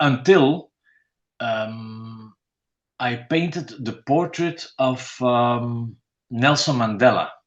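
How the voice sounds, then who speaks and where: In a Dutch accent, a man talks at a very slow pace with ordinary pitch variation. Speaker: painter. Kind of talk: interview. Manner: halting.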